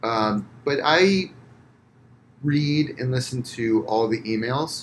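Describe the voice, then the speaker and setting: A very slow delivery with ordinary pitch variation, in an American accent. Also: man, medium pitch for a man. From US, Florida. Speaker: physical therapist, entrepreneur. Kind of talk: casual podcast interview. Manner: loud when passionate; many fillers, halting.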